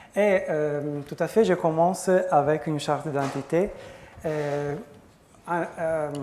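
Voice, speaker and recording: Amid audible room echo, a man with an Italian accent and a fairly high pitch speaks at a very slow pace with ordinary pitch variation. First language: Italian (speaking French). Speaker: professor. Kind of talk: conference talk. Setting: conference with audience. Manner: halting, many hesitations.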